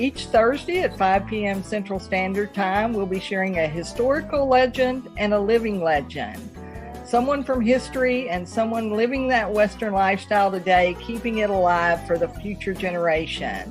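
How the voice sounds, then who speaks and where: Over music in the background, a woman talks with lively intonation and hardly any pauses. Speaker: podcast host. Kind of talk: show intro.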